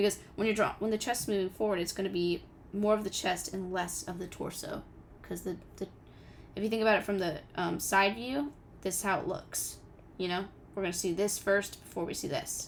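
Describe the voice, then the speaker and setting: Putting on a character voice, a woman sounds raspy at a medium pitch, talking at a fairly quick pace with fairly even intonation. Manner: talking really fast, rushed.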